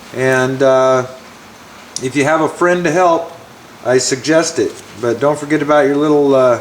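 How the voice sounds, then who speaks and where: The man's pitch is fairly high and his intonation fairly even. Noticeable background noise is present. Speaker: car hobbyist. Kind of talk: tutorial. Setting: outdoors. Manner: loud; halting.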